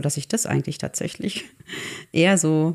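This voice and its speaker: Speaking at a fairly quick pace, a woman uses a very deep, low pitch with vocal fry. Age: 40s. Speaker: artist and photographer. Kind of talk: casual chat. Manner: halting.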